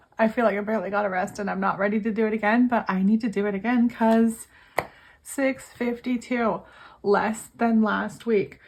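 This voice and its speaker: Delivered in a monotone, flat intonation, the speech moves at a moderate pace. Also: woman, fairly high pitch for a woman. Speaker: budgeting vlogger and gig worker. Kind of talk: casual vlog.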